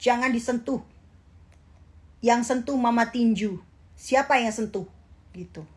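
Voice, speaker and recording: In a strong Javanese accent, a woman speaks at a fairly high pitch with fairly even intonation. The recording is very clean, with a silent background. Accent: strong Javanese (medok). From East Java, Indonesia (Jember). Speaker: social media influencer. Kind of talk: casual livestream chat. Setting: Instagram live stream.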